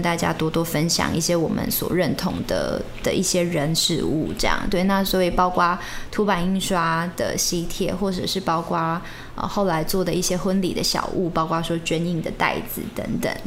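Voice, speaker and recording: A woman speaks at a moderate pace in a monotone, flat intonation, with very even loudness. Audible room echo and noticeable background noise are present. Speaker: bride. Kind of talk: casual chat.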